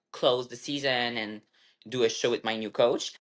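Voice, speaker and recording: Someone speaks at a moderate pace in a French Canadian accent over a quiet background. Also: woman. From Quebec, Canada. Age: 30s. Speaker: bodybuilder and fitness coach. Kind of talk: interview. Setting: podcast.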